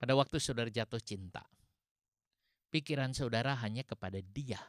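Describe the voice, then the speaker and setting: In a West Javanese accent, a man of medium pitch talks at a fairly quick pace with ordinary pitch variation, the sound dry and close with no echo. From West Java (Sundanese). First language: Sundanese (speaking Indonesian). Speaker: pastor. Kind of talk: sermon.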